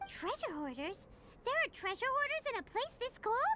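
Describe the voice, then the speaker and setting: This cartoonish character voice is squeaky and extremely high-pitched at a moderate pace. Clear background noise can be heard. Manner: fast, expressive, chatty.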